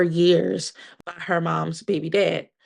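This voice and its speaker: Against a quiet background, a woman with an American accent talks with vocal fry. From Pennsylvania, Delaware County. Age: 30s. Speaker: podcast guest sharing personal trauma story. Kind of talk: interview testimony.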